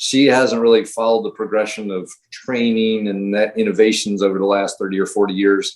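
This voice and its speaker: This man speaks with a US Midwestern accent at a fairly low pitch. His pace is fairly quick. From Ohio. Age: 60s. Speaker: high school running coach. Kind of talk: podcast interview. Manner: hesitant, many fillers.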